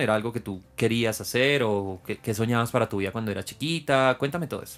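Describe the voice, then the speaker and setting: A man talks fairly quickly in a normal speaking voice, keeping a medium pitch and ordinary pitch variation. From Venezuela. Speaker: podcast host, flight attendant. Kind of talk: interview.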